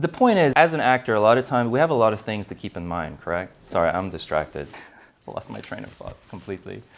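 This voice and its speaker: Talking very fast, a man with vocal fry and a medium pitch makes very wide pitch swings and big swings in loudness. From South Africa. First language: not English. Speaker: acting coach. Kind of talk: tutorial. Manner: casual, conversational.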